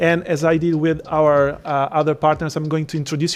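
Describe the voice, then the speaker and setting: Delivered at a moderate pace with an Italian accent, a man's fairly high voice stays flat and monotone. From Italy. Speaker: event host. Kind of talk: event moderation.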